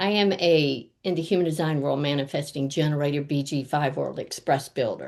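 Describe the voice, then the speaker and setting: A woman speaks at a moderate pace with hardly any pauses. Her pitch is very deep and low. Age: 70s. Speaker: life coach. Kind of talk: interview. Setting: video call. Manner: animated.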